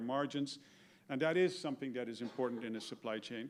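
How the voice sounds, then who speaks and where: A man in a Dutch accent talks at a very fast pace. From Netherlands. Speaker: retired business executive. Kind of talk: talk to an audience. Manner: hesitant, with fillers and repetitions.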